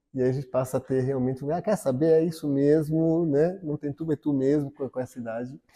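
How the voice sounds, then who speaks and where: In a dark, mellow tone, a man with a fairly high pitch talks at a fairly quick pace with hardly any pauses and fairly even intonation, the sound dry and close with no echo over a quiet background. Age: 60s. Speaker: interviewee in documentary. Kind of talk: interview testimony.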